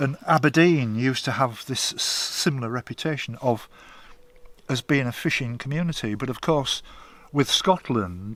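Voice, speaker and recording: A man speaks at a moderate pace with an East Yorkshire accent, his medium pitch showing ordinary pitch variation. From northern England, Hull. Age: 70s. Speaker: long-distance walker. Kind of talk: interview.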